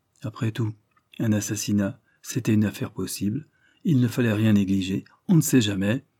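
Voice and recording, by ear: The background stays quiet. A natural voice reads aloud.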